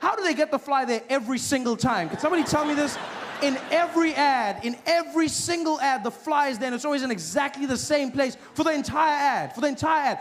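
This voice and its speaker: Over noticeable background noise, a man with an extremely high pitch speaks at a very fast pace with ordinary pitch variation. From South Africa. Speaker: stand-up comedian. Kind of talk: stand-up comedy set.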